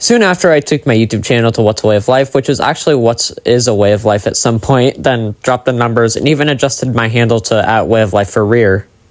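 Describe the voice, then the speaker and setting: This put-on character voice sounds robotic and races along at a very fast pace. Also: man, medium pitch for a man. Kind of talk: scripted reading. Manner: flat, stiff, robotic reading.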